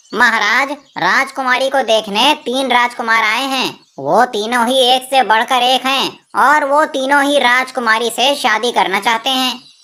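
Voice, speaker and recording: A woman's cartoonish character voice, high-pitched, with fairly even intonation. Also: moderate pace. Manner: deferential, smooth.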